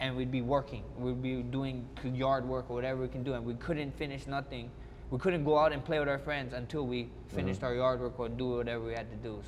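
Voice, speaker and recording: A man speaks at a fairly quick pace with a Hawaiian accent. Light background noise sits behind him. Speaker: mixed martial arts fighter. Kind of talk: interview answer. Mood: reflective, warm, nostalgic. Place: hall. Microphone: lapel.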